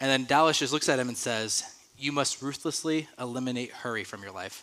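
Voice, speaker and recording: With a bright, sharp tone, a man speaks at a medium pitch and a fairly quick pace. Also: ordinary pitch variation. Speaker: youth pastor. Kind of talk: sermon. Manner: fast.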